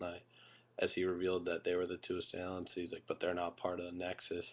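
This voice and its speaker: Very deep, low male voice over a quiet background. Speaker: YouTube wrestling reviewer. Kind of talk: casual video review. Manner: kept quiet so a roommate can sleep; halting, many fillers.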